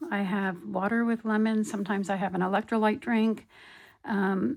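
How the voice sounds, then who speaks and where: On a very clean recording with a silent background, a woman with an American accent speaks in a relaxed tone at a medium pitch, with ordinary pitch variation and a moderate pace. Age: 60s. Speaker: crafting YouTuber. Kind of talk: casual video show-and-tell. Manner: relaxed, hesitant with many ums.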